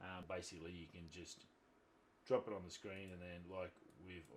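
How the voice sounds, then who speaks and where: Very deep and low in pitch, a man speaks at a moderate pace with an Australian accent. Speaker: YouTube tutorial creator, photographer. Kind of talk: tutorial. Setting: screen recording at laptop. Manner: casual, informal.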